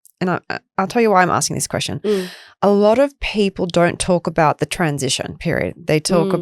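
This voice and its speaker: Recorded with a dry, close sound with no echo, a woman with a plain, everyday voice talks at a fairly quick pace, using a fairly low pitch and ordinary pitch variation. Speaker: podcast host. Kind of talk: podcast interview questions.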